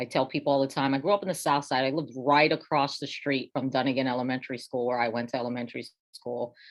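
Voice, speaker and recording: Talking at a very fast pace, a woman with an American accent uses a very deep, low pitch and fairly even intonation. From Bethlehem, Pennsylvania, US. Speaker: school district administrator. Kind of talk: panel discussion. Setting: video call.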